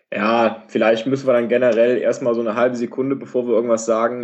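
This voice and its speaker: A man speaks very fast at a medium pitch, his intonation flat and monotone. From western Germany, Rhineland (Wuppertal/Cologne area). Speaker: podcast guest. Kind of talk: casual chat. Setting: remote call via iPad. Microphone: hiss/noise on his line, no headset.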